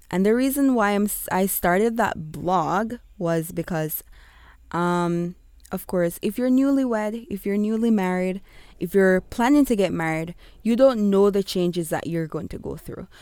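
Very clean recording with a silent background of a woman with an American accent, medium in pitch, moderate in pace, with ordinary pitch variation. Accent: Jamaican with American switching. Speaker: blogger and podcaster, ESL teacher. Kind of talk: casual solo podcast intro. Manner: animated, excited, chatty.

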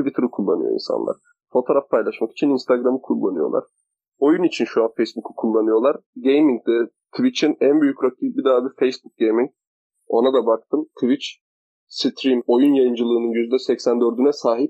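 A man talks at a moderate pace. His loudness stays very even throughout. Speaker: university student podcaster. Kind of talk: casual chat.

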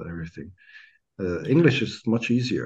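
A man with a Croatian accent at a moderate pace, lively intonation and a quiet background. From Croatia, Pula. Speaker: poet and language teacher. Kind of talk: interview conversation. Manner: halting.

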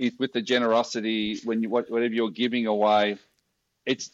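Here a man with an Australian accent talks at a medium pitch. The sound is dry and close with no echo, against a quiet background. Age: 50s. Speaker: social enterprise founder. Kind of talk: interview.

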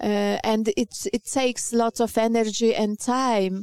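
A woman speaks slowly at medium pitch with fairly even intonation, her tone clear, smooth and slightly mellow in a dry, close sound with no echo.

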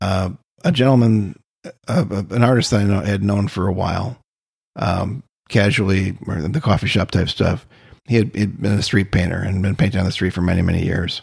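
On a very clean recording with a silent background, a man with an American accent talks at a fairly quick pace. His voice is fairly low, somewhat breathy and ordinary in pitch variation. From US Midwest, Austin, Minnesota. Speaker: painter. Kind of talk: casual interview conversation. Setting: artist's studio. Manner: halting, many fillers.

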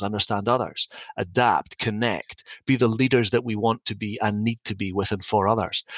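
A man's medium-pitched voice with a Scottish accent and a bright, sharp tone. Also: dry, close sound with no echo. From Scotland; Dundee, Scotland. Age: 50s. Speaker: company CEO. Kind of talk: podcast interview, storytelling.

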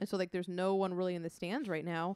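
A woman of medium pitch has an unremarkable speaking voice and talks at a fairly quick pace. The sound is dry and close, with no echo. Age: 30s. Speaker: guest co-host and videographer. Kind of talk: casual chat.

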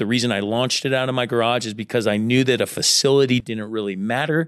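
The clip presents an unremarkable speaking voice. Intonation here is fairly even. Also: man. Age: 30s. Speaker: entrepreneur. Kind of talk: interview.

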